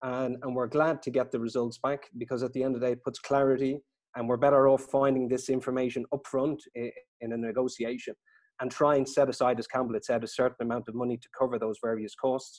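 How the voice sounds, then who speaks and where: Very fast and flat in a monotone, a man with an Irish accent speaks at a medium pitch. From Ireland. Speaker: estate agent. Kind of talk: webinar interview. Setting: video call.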